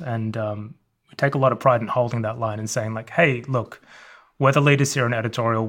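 On a very clean recording with a silent background, a man with an Australian accent speaks at a fairly quick pace and with fairly even intonation. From Australia, Melbourne suburbs. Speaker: magazine editor. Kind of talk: interview.

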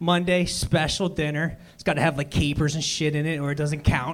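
This man speaks in a Philadelphia accent. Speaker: comedian. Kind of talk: stand-up. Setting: stage with audience.

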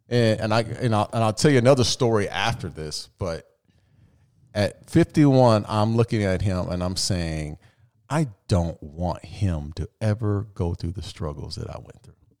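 A man with an ordinary speaking voice talks at a moderate pace and fairly low pitch, using lively intonation and big swings in loudness, in a very clean recording with a silent background. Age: 50s. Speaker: podcast guest, successful entrepreneur. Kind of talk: casual chat.

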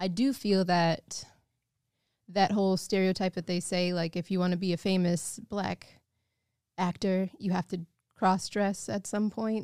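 An ordinary speaking voice with an American accent moves at a fairly slow pace. The intonation is fairly even, and the sound is dry and close with no echo. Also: woman, medium pitch for a woman. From Evanston, north of Chicago. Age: 30s. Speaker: musician and actress. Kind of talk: casual chat.

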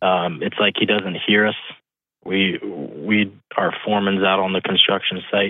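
Slowly and at a fairly low pitch, a man speaks. His intonation stays fairly even. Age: 20s. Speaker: construction foreman, caller. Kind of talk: phone call-in. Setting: phone call. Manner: halting.

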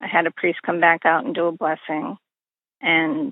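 A woman with an American accent. Her pitch sits fairly low. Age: 60s. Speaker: victim's sister and nurse. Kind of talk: interview testimony. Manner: halting.

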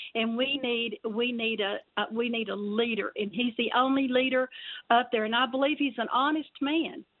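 Spoken at a moderate pace in a Texan accent, the voice shows ordinary pitch variation. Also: woman, high pitch for a woman. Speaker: caller. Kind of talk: call-in opinion. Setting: phone call. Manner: halting.

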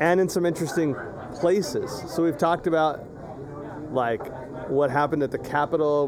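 A man speaks at a fairly quick pace in an American accent, his intonation fairly even, with audible room echo and noticeable background noise. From US Southwest, Imperial Valley, California. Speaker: podcast host and teacher. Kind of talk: casual chat. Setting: outdoors in a yard.

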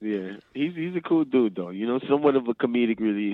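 A man speaks with a slight New Orleans accent. His intonation is lively. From New Orleans, Louisiana. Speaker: actor. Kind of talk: interview.

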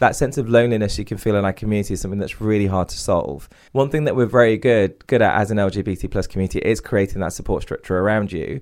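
Speaking very fast with hardly any pauses, a man with an East Midlands accent uses a fairly low pitch and ordinary pitch variation against a quiet background. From England, Derby (East Midlands). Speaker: CEO and author on diversity and inclusion. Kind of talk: podcast interview.

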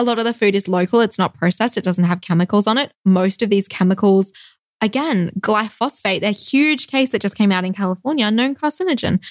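A woman's medium-pitched voice in an Australian accent, with ordinary pitch variation, very even loudness and a dry, close sound with no echo. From Western Australia, Perth. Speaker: physician. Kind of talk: casual interview.

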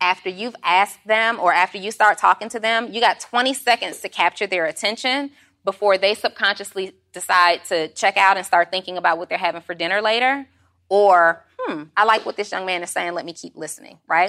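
With an American accent, a woman speaks fairly quickly in a medium pitch, her bright, sharp, animated tone showing ordinary pitch variation and big swings in loudness. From Atlanta, Georgia (US South). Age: 40s. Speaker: entrepreneur and business coach. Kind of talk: casual interview chat.

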